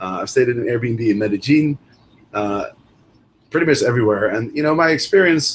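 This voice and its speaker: A man's somewhat breathy voice at medium pitch and moderate pace. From Netherlands. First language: Dutch. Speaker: Airbnb host and coach. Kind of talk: interview. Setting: video call.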